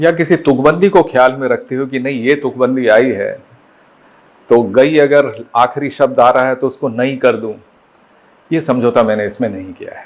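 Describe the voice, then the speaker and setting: At a moderate pace, a man speaks in a medium pitch with ordinary pitch variation and big swings in loudness. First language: Bengali (speaking Hindi). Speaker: poet and educator. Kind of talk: interview. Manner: formal; hesitant, with fillers.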